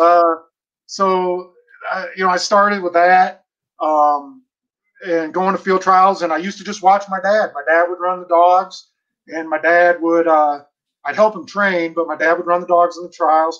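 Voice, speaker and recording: A man's high-pitched, monotone, flat delivery at a moderate pace, over a quiet background. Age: 40s. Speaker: bird dog trainer. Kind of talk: casual interview. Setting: video call. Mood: friendly, smiling, nostalgic. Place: home room. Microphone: video call.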